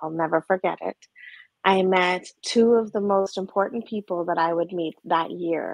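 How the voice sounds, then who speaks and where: A woman with a Canadian accent talks at a moderate pace in a medium pitch. Her intonation stays fairly even, and the sound is dry with no echo against a quiet background. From Alberta, Canada. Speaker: trauma therapist. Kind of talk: interview conversation. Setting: video call. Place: home room. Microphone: video call.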